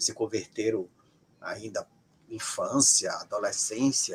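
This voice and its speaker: A man speaks at a fairly slow pace with vocal fry. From Brazil, Ceará. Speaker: sociologist of religion. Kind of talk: interview. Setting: live stream.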